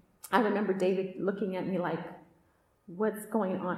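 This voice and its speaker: The room echo is audible as a woman talks in an American accent at a moderate pace. Her medium-pitched voice stays monotone and flat. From Oakland, Northern California. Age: 40s. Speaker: podcast host and retreat speaker. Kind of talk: testimony talk at a women's retreat.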